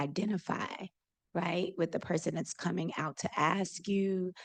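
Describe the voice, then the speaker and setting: The speech moves at a fairly slow pace with fairly even intonation. Vocal fry runs through the voice. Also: woman. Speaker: audience member asking a question. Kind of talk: audience question.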